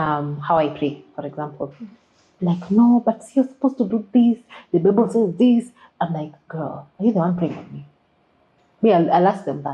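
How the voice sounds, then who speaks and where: A woman with a Kenyan accent speaks at a moderate pace in a fairly low, somewhat breathy voice, her intonation lively, her loudness swinging widely, and her speech broken by long, frequent pauses. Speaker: social media creative specialist. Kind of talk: podcast interview. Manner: assertive; code-switches into Swahili.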